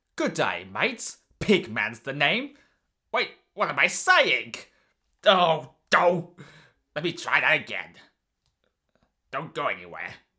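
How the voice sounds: Using a put-on character voice at a middle pitch, the speaker goes at a fairly slow pace with long, frequent pauses.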